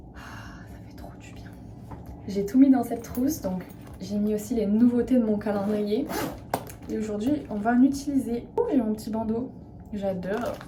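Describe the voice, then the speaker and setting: Against noticeable background noise, a woman speaks at a fairly slow pace in a fairly high pitch and a relaxed tone, her intonation fairly even, with long, frequent pauses and big swings in loudness. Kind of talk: casual talk to camera, vlog with skincare routine. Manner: relaxed, chatty, soft.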